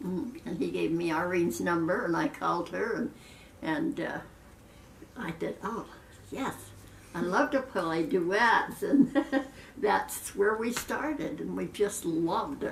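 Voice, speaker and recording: A woman speaks in an American accent at a fairly slow pace, with long, frequent pauses and noticeable background noise. Her medium pitch swings very widely. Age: 90s. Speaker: retired piano teacher. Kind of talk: casual interview. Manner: halting, with fillers.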